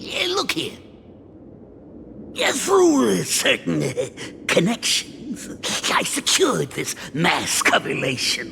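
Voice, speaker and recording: This put-on character voice moves at a fairly slow pace with long, frequent pauses over clear background noise. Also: man. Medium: video game. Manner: chuckling, folksy, hesitant fillers.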